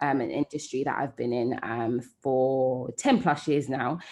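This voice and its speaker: In a London accent, a woman speaks at a fairly slow pace with ordinary pitch variation over a quiet background. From London, England. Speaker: entrepreneur and digital director. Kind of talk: interview conversation.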